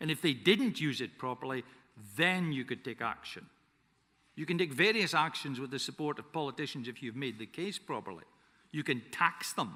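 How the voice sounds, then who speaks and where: A man with a Scottish accent, fairly high in pitch, bright and sharp in tone, with lively intonation at a moderate pace. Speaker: forester and conference speaker. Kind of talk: conference speech.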